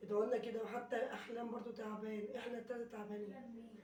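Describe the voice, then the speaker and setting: A woman with an Egyptian accent, high-pitched and fairly quick, amid audible room echo and noticeable background noise. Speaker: vlogger. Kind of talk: casual vlog chat.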